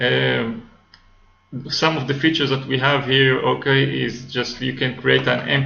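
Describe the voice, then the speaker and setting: Over music in the background and audible room echo, a man with a non-native accent speaks at a fairly slow pace. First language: not English. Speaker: software developer. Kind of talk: tutorial. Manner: halting, many fillers.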